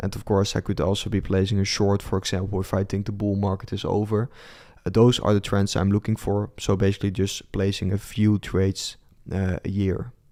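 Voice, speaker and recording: With a Dutch accent, the speaker talks at a fairly quick pace in a dark, mellow tone. The intonation is monotone and flat, on a very clean recording with a silent background. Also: man, fairly low pitch for a man. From Netherlands. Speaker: crypto trader and streamer. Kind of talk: live stream market commentary with chat Q&A. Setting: live stream. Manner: hesitant, many fillers.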